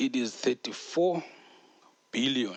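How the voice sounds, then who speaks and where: With a South African accent, a man speaks with ordinary pitch variation in dry, close sound with no echo. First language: Xhosa. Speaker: podcast host. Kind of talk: casual podcast monologue. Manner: casual, hesitant with fillers.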